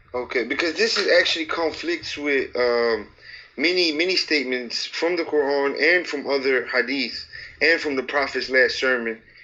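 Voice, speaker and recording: A man's plain, everyday voice with an American accent, fairly high in pitch, at a moderate pace with ordinary pitch variation. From USA. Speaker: caller. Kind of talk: heated debate.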